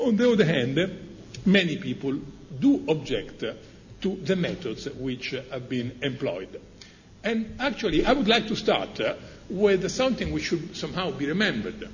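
With an Italian accent, a man speaks high at a moderate pace, his pitch swinging very widely between long, frequent pauses. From Italy. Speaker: professor. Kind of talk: panel discussion. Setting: stage with audience.

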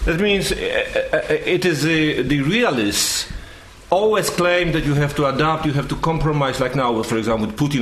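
A man with a Polish accent talks at a moderate pace in a fairly high voice. Audible room echo and noticeable background noise surround the recording. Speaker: journalist and former dissident. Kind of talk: panel talk.

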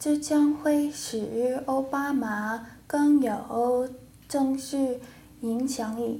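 Speaking very slowly, a woman with an English accent uses a high pitch and fairly even intonation. The room echo is audible. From United States. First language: English (speaking Chinese). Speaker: language student. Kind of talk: classroom discussion. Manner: halting, many fillers.

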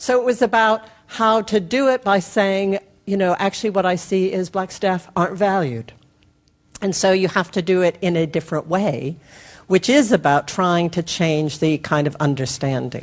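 A woman with an ordinary speaking voice talks at a moderate pace in a medium pitch, her intonation lively. The background is quiet. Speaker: audience member. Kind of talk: audience question. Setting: audience with wandering mic.

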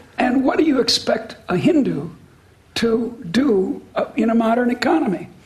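With noticeable background noise, a woman speaks at a high pitch and a very slow pace. Her intonation is lively. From US (Midwest / Boston). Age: 70s. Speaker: economics professor. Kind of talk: public interview with audience Q&A. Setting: stage with audience. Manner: halting, repeats words.

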